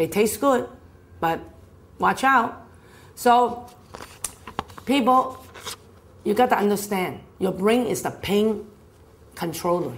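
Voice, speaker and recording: A woman's animated voice at a medium pitch, with lively intonation and a fairly slow pace. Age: 60s. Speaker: health speaker. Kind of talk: health talk.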